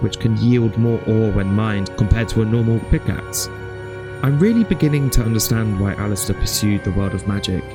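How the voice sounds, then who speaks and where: A fairly low-pitched man with a British accent and ordinary pitch variation, music in the background. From United Kingdom. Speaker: gaming YouTuber. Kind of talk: narrated gameplay storytelling.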